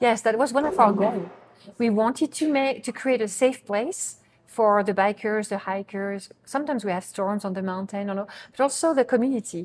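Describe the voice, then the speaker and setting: With a French accent, a woman speaks at a fairly quick pace in a fairly high pitch with ordinary pitch variation. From France. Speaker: bakery co-owner. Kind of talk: interview.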